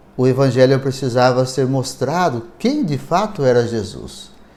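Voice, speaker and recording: Audible room echo carries the voice of a man who speaks fairly slowly with lively intonation. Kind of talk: lecture.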